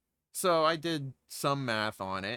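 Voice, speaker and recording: A man speaks with an American accent in a bright, sharp tone. The recording is very clean and dry, close-miked with no echo and a silent background. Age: 30s. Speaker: podcast host. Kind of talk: casual rant.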